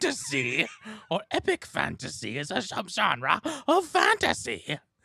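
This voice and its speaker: At a moderate pace, a put-on character voice delivers its lines in a sing-song way. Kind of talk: exaggerated, theatrical. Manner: grand, fantastical, sing-song storybook reading.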